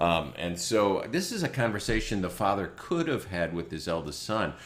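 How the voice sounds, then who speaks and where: A man's voice shows vocal fry and very wide pitch swings at a moderate pace. Room echo is audible. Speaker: online show host, preacher. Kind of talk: informal sermon-style commentary. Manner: animated, joking.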